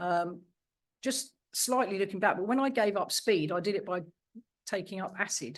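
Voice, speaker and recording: With an English accent, a woman speaks at medium pitch with lively intonation and long, frequent pauses. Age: 60s. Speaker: recovering addict. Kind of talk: testimony. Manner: fast.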